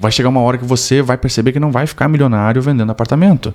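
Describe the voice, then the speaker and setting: This man's speech rushes by at a very fast pace, his pitch varying in an ordinary way. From southern Brazil (Rio Grande do Sul). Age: 30s. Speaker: real estate development expert. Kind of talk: podcast interview.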